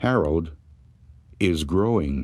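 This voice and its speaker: A man puts on a character voice at a very deep, low pitch. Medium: read story. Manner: cautious.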